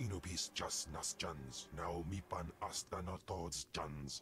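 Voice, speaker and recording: Using a put-on character voice, a man speaks at a fairly slow pace in a very deep, low pitch over clear background noise. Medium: video game.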